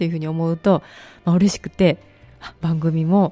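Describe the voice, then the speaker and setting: This woman speaks at a fairly quick pace in a dark, mellow tone. The sound is dry and close, with no echo. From Osaka, Kadoma. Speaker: internet radio host. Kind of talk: radio interview. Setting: studio. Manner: polite.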